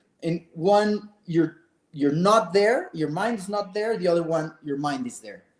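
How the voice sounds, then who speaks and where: A man with a Mexican accent, high-pitched, at a moderate pace, with ordinary pitch variation and big swings in loudness. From Mexico City. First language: Spanish. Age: 50s. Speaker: adventurer and author. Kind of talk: interview.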